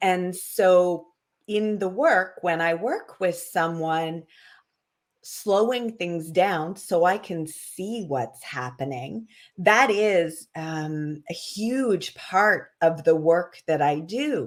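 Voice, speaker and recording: The delivery is very slow, with lively intonation. The recording is very clean, with a silent background. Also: woman. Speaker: wellness practitioner. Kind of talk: casual interview chat.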